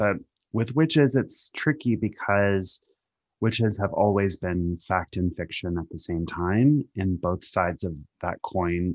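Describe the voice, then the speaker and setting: A man with an unremarkable speaking voice at a fairly low pitch and fairly slow pace, with ordinary pitch variation, a quiet background and a dry, close sound with no echo. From US Pacific Northwest. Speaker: TV writer. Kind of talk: casual interview chat.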